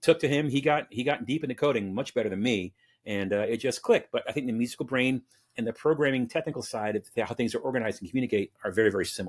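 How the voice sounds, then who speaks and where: A man talks at a very fast pace, at a medium pitch with ordinary variation. The sound is dry and close, with no echo. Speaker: channel director at a tech provider. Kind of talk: podcast interview.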